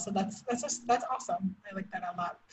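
A woman speaks with an ordinary speaking voice at a medium pitch. Her intonation stays fairly even. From outside the US. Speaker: podcast host. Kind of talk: interview.

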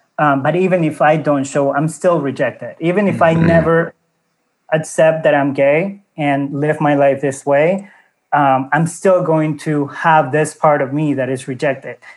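This man has an unremarkable speaking voice, fairly high in pitch, moving at a moderate pace with fairly even intonation. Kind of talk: casual interview chat.

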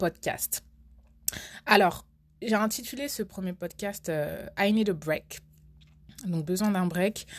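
The recording is very clean, with a silent background. A woman of medium pitch speaks at a very slow pace with ordinary pitch variation. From France. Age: 20s. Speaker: podcast host. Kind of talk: casual monologue.

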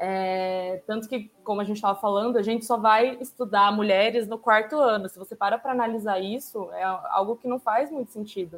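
A woman with an ordinary speaking voice talks at a fairly quick pace with hardly any pauses. Her pitch is fairly high and her intonation fairly even. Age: 20s. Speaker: international relations graduate. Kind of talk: casual discussion panel.

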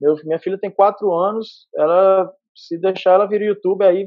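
This man has a high-pitched voice with ordinary pitch variation. He speaks at a moderate pace. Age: 30s. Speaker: entrepreneur. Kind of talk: interview. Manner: talkative.

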